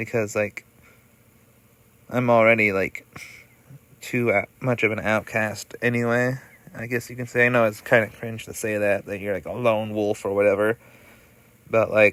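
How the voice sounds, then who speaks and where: A man speaks at a moderate pace and a medium pitch, his intonation monotone and flat. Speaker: video creator. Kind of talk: casual monologue. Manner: halting, many fillers.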